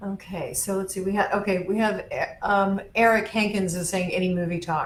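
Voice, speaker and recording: Monotone, flat intonation moves at a moderate pace, with audible room echo and noticeable background noise. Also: woman, medium pitch for a woman. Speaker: author's daughter, event host. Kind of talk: casual chat. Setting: live video stream. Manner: halting.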